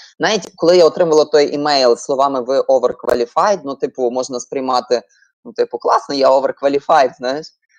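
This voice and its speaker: A woman talks at a fairly quick pace in a very deep, low pitch with ordinary pitch variation. The sound is dry and close, with no echo. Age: 30s. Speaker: project manager. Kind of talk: online webinar talk.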